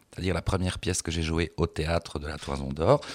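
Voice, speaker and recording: A man is talking. His pace is very fast. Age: 50s. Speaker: drag performer. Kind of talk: casual chat. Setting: stage with audience.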